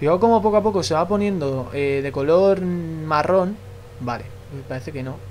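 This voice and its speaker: A man talks with a fairly high pitch, lively intonation and an animated tone. Noticeable background noise sits behind him. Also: moderate pace. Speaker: gaming YouTuber. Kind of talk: gameplay commentary.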